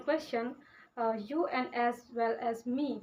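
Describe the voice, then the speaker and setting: A woman speaks at a very slow pace. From India, Uttar Pradesh. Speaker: vlogger. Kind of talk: casual vlog talk. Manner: halting, many fillers.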